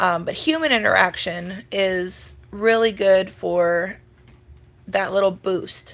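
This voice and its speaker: At a very slow pace, a woman with an American accent talks at a medium pitch. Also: ordinary pitch variation. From Minnesota. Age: 30s. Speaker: livestreamer. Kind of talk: casual chat. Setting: live video stream at home. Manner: chatty, informal.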